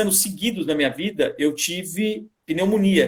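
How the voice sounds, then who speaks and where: The man speaking has a high pitch. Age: 40s. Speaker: vegan guest. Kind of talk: live stream interview.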